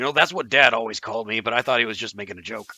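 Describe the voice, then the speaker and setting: In a put-on character voice, a raspy man rattles along at a very fast pace with a medium pitch. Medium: actual play. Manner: earnest, simple-minded.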